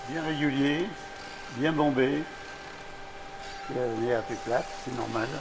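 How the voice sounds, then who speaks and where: Audible room echo and noticeable background noise surround a man with a medium pitch. He talks at a very slow pace, leaving long, frequent pauses. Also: ordinary pitch variation. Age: 80s+. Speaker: retired master glassblower. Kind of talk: workshop interview.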